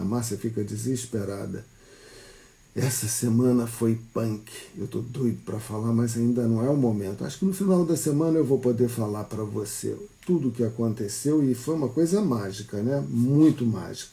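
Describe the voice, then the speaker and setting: Medium-pitched man's voice, dark and mellow, somewhat breathy, at a moderate pace with ordinary pitch variation. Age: 60s. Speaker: psychologist. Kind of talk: casual talk on a live stream. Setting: live stream.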